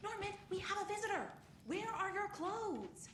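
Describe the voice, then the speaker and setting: Over clear background noise, a squeaky, extremely high-pitched put-on character voice speaks at a moderate pace. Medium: video game.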